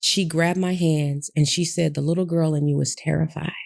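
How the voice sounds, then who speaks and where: At a fairly quick pace, a woman with an American accent speaks in a very deep, low pitch with a dark, mellow tone. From Michigan, near Detroit. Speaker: abuse survivor and speaker. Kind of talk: interview testimony.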